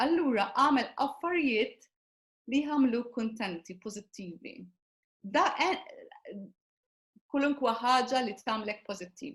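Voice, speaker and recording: Long, frequent pauses break up a woman's moderate pace as she speaks in a high pitch with a Maltese accent. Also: lively intonation. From Malta. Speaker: personal development coach. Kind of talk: interview. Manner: halting.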